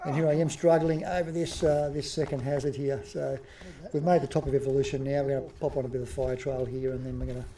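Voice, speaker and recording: A man with an Australian accent, fairly high-pitched, with fairly even intonation and a very fast pace. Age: 50s. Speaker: amateur masters mountain bike racer and vlogger. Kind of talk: voice-over commentary on race footage. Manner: hesitant, many fillers.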